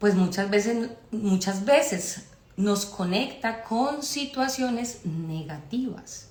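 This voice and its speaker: At a very slow pace, a woman with a Colombian accent speaks at medium pitch with lively intonation. Audible room echo and noticeable background noise fill the recording. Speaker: spiritual astrology speaker. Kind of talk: live-stream talk. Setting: live stream.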